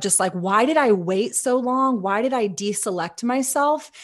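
A woman with an American accent in a normal speaking voice, at a moderate pace with ordinary pitch variation, over a quiet background. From Texas. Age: 30s. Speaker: cannabis business co-founder. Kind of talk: podcast interview.

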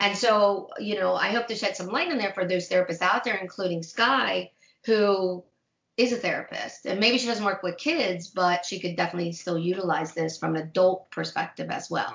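A woman with an unremarkable speaking voice, at a moderate pace with ordinary pitch variation. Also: medium pitch for a woman. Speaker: therapist and tabletop player. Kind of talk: casual chat.

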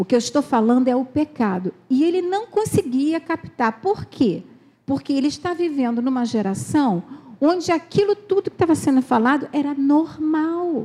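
A woman's high pitch in a dark, mellow tone, at a moderate pace, with very even loudness and very wide pitch swings. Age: 60s. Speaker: pastor's wife. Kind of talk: sermon.

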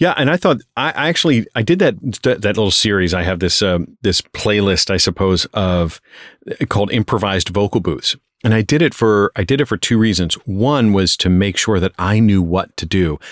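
A man talks at a moderate pace, his pitch fairly low and his intonation lively. It is a plain, everyday voice, with a dry, close sound and no echo. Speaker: voice actor and YouTuber. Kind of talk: interview, casual chat. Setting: remote recording, different country from host.

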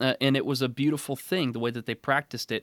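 In an American accent, a man speaks with a plain, everyday voice at a medium pitch and ordinary pitch variation. The recording is very clean, with a silent background and a dry, close sound with no echo. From Oregon, US Northwest. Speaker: preacher and podcast host. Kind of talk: interview conversation.

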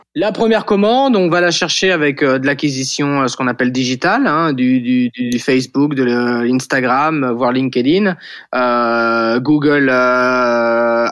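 Speech comes at a very slow pace with ordinary pitch variation and very even loudness over a quiet background. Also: man, medium pitch for a man. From western France, Vendée. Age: 40s. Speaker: startup founder. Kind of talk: interview.

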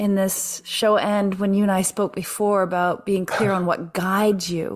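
Noticeable background noise sits behind a woman who talks at a moderate pace. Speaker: podcast host. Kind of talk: interview conversation, warm and spiritual. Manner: warm, encouraging.

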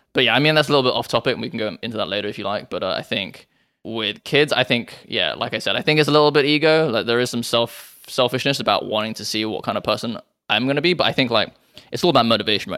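A man's bright, sharp voice with a British accent at a very fast pace, on a very clean recording with a silent background. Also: medium pitch for a man, ordinary pitch variation. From England. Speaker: rock climber and crypto investor. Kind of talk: casual chat.

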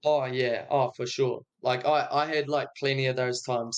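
A man with a New Zealand accent speaks at a moderate pace with fairly even intonation. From New Zealand, Dunedin. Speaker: music producer. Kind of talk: casual chat.

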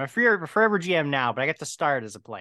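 A man with an American accent, a bright, sharp tone and lively intonation. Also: quiet background. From US Midwest (Medina, Ohio, near Cleveland). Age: 30s. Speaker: tabletop game master and news outlet founder. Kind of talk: casual interview.

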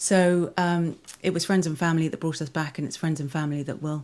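A woman speaks at a fairly quick pace in a southern English accent, her very deep, low voice keeping a fairly even intonation on a very clean recording with a silent background. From southwest London. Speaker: school foundation director. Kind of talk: interview. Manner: halting, many repeated words.

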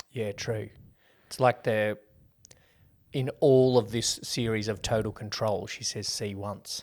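This man speaks with an Australian accent at a medium pitch, with fairly even intonation. Long, frequent pauses break up his speech in a very clean recording with a silent background. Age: 30s. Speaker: podcast co-host, movie reviewer. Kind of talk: casual chat.

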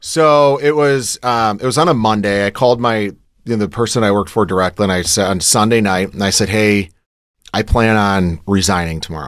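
A normal speaking voice from a man with an American accent, fairly low pitch and ordinary pitch variation, in a very clean recording with a silent background. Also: fairly quick pace. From Michigan. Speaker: entrepreneur. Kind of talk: interview. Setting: studio.

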